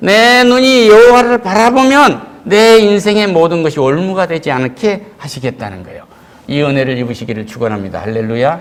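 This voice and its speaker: A man's high-pitched voice with very wide pitch swings, big swings in loudness and a moderate pace, plus noticeable background noise and audible room echo. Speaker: pastor. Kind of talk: sermon. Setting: church. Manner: louder than usual due to mask. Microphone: wearing a mask, muffled pronunciation.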